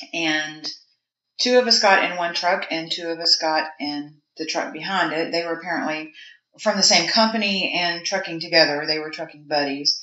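The speaker has a Southern US accent and a moderate pace. Pitch variation is ordinary. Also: woman, fairly low pitch for a woman. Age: 40s. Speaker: mortician. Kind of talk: casual interview. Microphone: poor sound quality.

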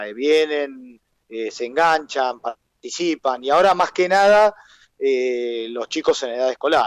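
Speaking at a fairly slow pace, a man has a fairly high pitch and ordinary pitch variation. He has a plain, everyday voice. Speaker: carnival troupe founder. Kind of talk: interview.

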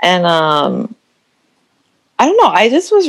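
A woman with a West Coast accent at a very slow pace. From Oregon, US. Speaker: guest, export coordinator. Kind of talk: casual chat.

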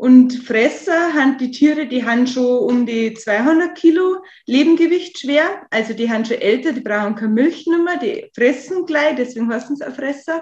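A woman speaks at a high pitch with lively intonation. She keeps a moderate pace with hardly any pauses. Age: 20s. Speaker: farmer. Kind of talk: interview. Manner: hesitant, with fillers.

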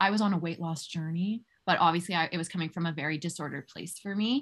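An ordinary speaking voice at a fairly quick pace, in a very clean recording with a silent background. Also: woman. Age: 20s. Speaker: health coach. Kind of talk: interview.

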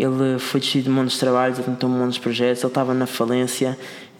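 A man's medium-pitched voice at a very fast pace amid noticeable background noise. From Madeira, Portugal. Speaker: entrepreneur. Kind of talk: casual interview. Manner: halting, repetitive.

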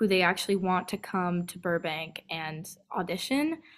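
A woman speaks with an American accent at a very slow pace. Her pitch varies in an ordinary way. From California, US. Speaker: singer-songwriter. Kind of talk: casual interview. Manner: many fillers, upbeat.

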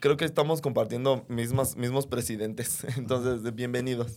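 Using an animated tone, a man talks at a moderate pace in a medium pitch with ordinary pitch variation. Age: 30s. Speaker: podcaster and stand-up comedian. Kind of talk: casual chat.

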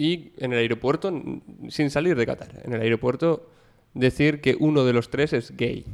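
A normal speaking voice from a man, medium in pitch, with ordinary pitch variation and a moderate pace. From Bilbao, Basque Country. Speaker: journalism student. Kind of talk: casual chat.

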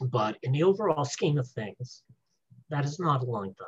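Ordinary pitch variation and a moderate pace shape a man's somewhat breathy speech. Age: 70s. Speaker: spiritual author. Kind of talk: interview.

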